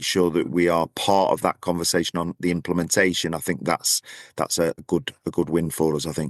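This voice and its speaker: Quick-paced speech comes from a man with a northern English accent and a very deep, low voice. The sound is dry and close with no echo, over a quiet background. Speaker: podcast co-host, business travel association representative. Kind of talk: casual chat. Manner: repeats words, halting.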